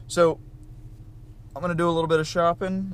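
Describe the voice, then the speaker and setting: A man talks at a very fast pace. He has a Southern US accent. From US South. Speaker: vlogger, restaurant employee. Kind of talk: casual vlog. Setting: on the go, in stores. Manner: casual, with many fillers.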